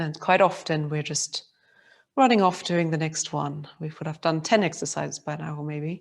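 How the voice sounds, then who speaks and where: Recorded very cleanly against a silent background, a woman with a very deep, low pitch speaks with ordinary pitch variation and big swings in loudness. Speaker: movement teacher. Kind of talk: guided movement session. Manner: slow; calm, soft-spoken.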